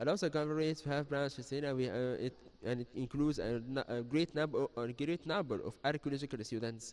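The man's voice sits at a fairly high pitch with ordinary pitch variation and a moderate pace. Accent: Arabic. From Egypt. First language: Arabic. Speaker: student initiative member. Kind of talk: TV interview. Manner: halting. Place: studio. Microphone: handheld.

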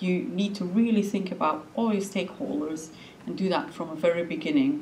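A woman's medium-pitched voice at a moderate pace, with very wide pitch swings and light background noise. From Belgium. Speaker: coastal management official, lecturer; lecturer. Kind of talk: lecture. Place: hall.

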